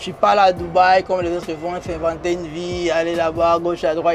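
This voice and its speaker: With a strong non-native accent, a man talks at a high pitch and a fairly quick pace. Noticeable background noise is present. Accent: strong foreign accent, central to his persona. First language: not French (speaking French). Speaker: comedian and influencer. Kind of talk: casual interview. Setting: in a limousine. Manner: informal street slang.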